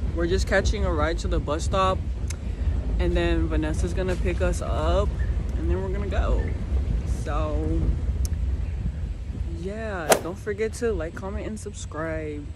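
Over loud background noise, a woman talks at a fairly slow pace with long, frequent pauses, and the sound is dry with no echo. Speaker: vlogger. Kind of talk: casual vlog chat. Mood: cheerful, relaxed. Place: open country. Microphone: phone near.

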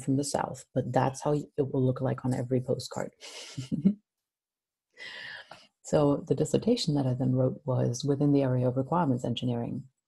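A woman speaks at a fairly quick pace with a very deep, low pitch. Her tone is dark and mellow, and somewhat breathy. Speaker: university lecturer. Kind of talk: lecture. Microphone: webcam.

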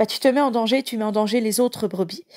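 A woman's voice in a dry, close sound with no echo. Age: 30s. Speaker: evangelical live preacher. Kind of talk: live Bible teaching; personal testimony. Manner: halting.

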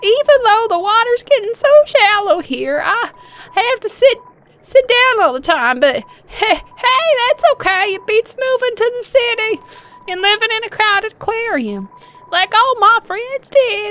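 The put-on character voice sits at an extremely high pitch and moves at a moderate pace. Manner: eager, rambling, repeats huh.

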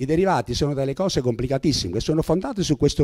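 Against a quiet background, a man speaks in a dark, mellow tone. His intonation is lively. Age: 70s. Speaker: retired judge and jurist speaker; retired judge, speaker. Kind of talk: public talk. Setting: meeting hall with audience. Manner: halting, with frequent repetitions. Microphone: handheld.

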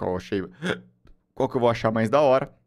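A quiet background behind a man's voice, its pitch varying in an ordinary way. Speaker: live streamer. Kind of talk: casual stream chat. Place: home room. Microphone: studio mic.

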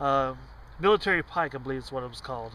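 A man's bright, sharp voice with a dry sound and no echo. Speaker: storyteller. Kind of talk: casual vlog chat, telling a story. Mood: quiet, reflective storytelling. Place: car. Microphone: phone near.

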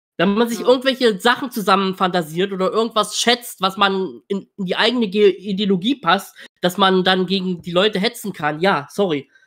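The voice moves at a moderate pace with hardly any pauses, over a quiet background. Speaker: political commentator. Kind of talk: reaction stream commentary. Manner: blunt. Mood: indignant, dismissive. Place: home room. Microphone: video call.

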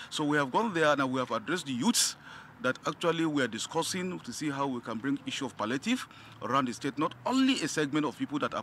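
With light background noise and a dry sound with no echo, a man talks at a very fast pace with lively intonation. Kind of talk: press interview answer. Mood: earnest, reassuring. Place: street. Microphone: handheld.

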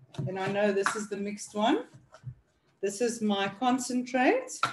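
A woman speaks at a moderate pace. Noticeable background noise is heard behind her. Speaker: product demonstrator. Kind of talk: tutorial.

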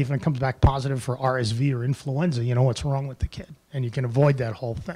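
A man talks at a fast pace. His tone is slightly mellow.

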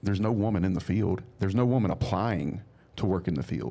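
A man's fairly low-pitched voice, dark and mellow in tone, with lively intonation and vocal fry. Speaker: entrepreneur; podcast guest. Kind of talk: casual chat. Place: studio. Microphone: studio mic.

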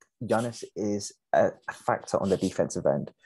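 A man is speaking. The sound is dry, with no echo. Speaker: podcast co-host. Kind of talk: sports commentary discussion. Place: home room. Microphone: video call.

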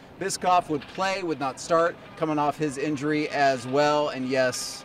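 A man speaks at a fairly slow pace with fairly even intonation over faint background noise.

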